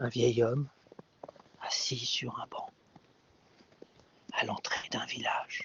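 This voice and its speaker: A man whispers at a very slow pace. His speech has long, frequent pauses. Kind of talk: sleep story. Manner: whispered.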